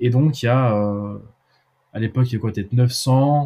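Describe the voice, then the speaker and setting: A man speaks at medium pitch, his tone dark and mellow and somewhat breathy. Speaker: student entrepreneur. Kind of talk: casual chat. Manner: halting.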